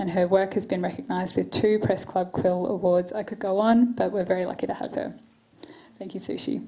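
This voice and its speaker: Quiet and fairly quick, a woman with an Australian accent speaks in a dark, mellow tone with vocal fry. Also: medium pitch for a woman, ordinary pitch variation. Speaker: event moderator, human rights lawyer. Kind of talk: panel moderation. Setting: stage with audience. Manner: quiet, may trail off.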